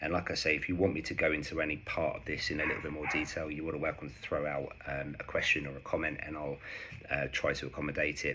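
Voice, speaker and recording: Noticeable noise fills the background while a man talks very fast. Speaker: investing vlogger. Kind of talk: tutorial.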